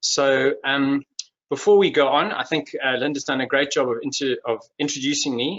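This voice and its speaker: A man is speaking. He has a Durban accent. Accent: Durban South African. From South Africa, Durban. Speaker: industry executive and webinar speaker. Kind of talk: webinar presentation. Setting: online webinar. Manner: hesitant, many fillers and repetitions.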